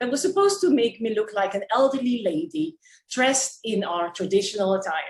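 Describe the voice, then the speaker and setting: Somewhat breathy, this woman talks at a fairly quick pace, her pitch swinging very widely. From Curaçao. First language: Papiamento. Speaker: public speaking club member. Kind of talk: prepared speech.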